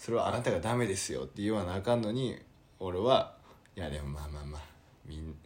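A somewhat breathy man with a very deep, low pitch speaks at a fairly quick pace with lively intonation amid audible room echo. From Kyoto. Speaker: podcast co-host. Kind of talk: casual chat. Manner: soft-spoken Kansai speech.

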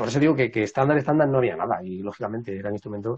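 The man's voice sits fairly low in pitch and shows ordinary pitch variation. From Madrid, Spain. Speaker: traditional music researcher and musician. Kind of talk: casual interview. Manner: halting.

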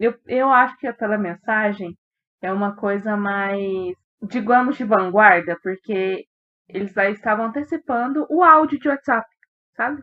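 At a fairly slow pace, a woman speaks in a normal speaking voice. Her pitch is fairly high, with lively intonation. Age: 20s. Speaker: book podcast co-host. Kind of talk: casual book discussion.

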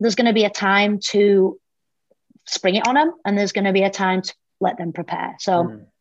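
At a moderate pace, the voice comes through with a British accent. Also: woman. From UK. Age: 40s. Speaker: fitness coach. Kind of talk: casual chat.

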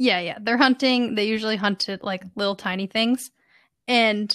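A woman with an unremarkable speaking voice, fairly high pitch and fairly even intonation at a moderate pace, on a very clean recording with a silent background and a dry, close sound with no echo. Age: 30s. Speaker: podcast co-host. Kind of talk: casual chat.

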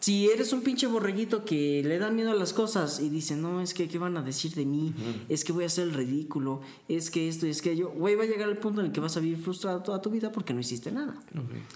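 This man speaks in a high voice with lively intonation, over noticeable background noise and audible room echo. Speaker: university student, aspiring voice actor. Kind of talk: casual chat.

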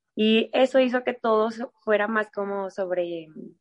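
In a dry, close sound with no echo, a woman with a fairly high pitch and an unremarkable speaking voice talks fairly slowly with ordinary pitch variation. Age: 30s. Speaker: dance studio director and choreographer. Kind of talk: interview conversation.

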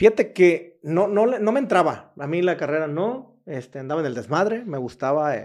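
A man's high-pitched voice with a western Mexican accent, very wide pitch swings and big swings in loudness, at a moderate pace with hardly any pauses. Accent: Mexican Spanish (western Mexico). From Mexico, Jalisco coast. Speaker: entrepreneur. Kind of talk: interview, casual chat.

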